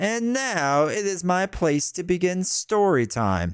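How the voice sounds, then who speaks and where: Using a high-pitched, put-on character voice, a man speaks at a fairly slow pace. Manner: creepy.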